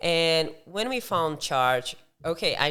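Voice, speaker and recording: A woman with a Brazilian accent on a very clean recording with a silent background. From southern Brazil. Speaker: CrossFit coach. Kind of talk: podcast interview. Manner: halting, self-correcting.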